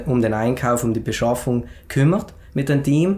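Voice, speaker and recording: A man at medium pitch with an unremarkable speaking voice. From South Tyrol, Schnals valley. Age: 20s. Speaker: entrepreneur and fitness author. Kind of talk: podcast interview, personal story. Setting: studio, sitting together in person.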